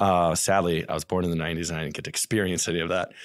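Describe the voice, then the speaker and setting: In a very clean recording with a silent background, a man speaks with a very deep, low voice. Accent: American. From St. Louis, US Midwest. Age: 30s. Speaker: real estate investor and realtor. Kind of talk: casual podcast interview.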